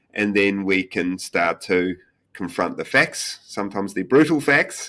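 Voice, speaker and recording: In a New Zealand accent, a man with a fairly low pitch speaks at a fairly slow pace, his tone bright and sharp and his intonation lively. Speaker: tech company founder and CEO. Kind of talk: podcast interview. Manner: hesitant, many fillers.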